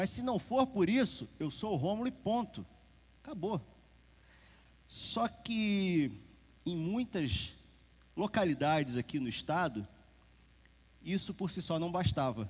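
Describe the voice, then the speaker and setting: A man in a Carioca accent speaks at a high pitch with very wide pitch swings. He goes at a very slow pace with long, frequent pauses, in a very clean recording with a silent background. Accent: carioca accent, still noticeable. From Rio de Janeiro, Brazil. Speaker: preacher. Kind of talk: sermon. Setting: church service with congregation. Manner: conversational, informal.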